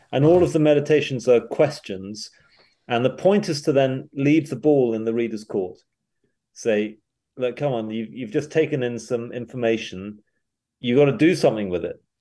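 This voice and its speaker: With a British accent, a man speaks at a moderate pace and with ordinary pitch variation. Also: medium pitch for a man. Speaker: pastor and author. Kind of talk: interview.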